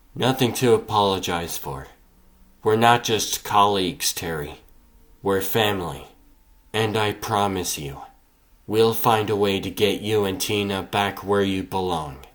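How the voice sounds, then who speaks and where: A man performs in a put-on character voice with ordinary pitch variation. He leaves long, frequent pauses. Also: fairly low pitch for a man, moderate pace. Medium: dub.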